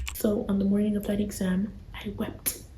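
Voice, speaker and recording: A woman whispers while noticeable noise sits in the background. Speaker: vlogger. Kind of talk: casual chat. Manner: whispering.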